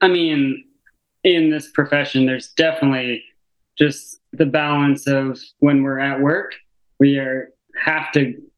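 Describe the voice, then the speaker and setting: A man with an American accent speaks in a plain, everyday voice at a fairly high pitch, using fairly even intonation and a fairly slow pace. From Arizona. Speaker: physical therapist. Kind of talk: casual chat.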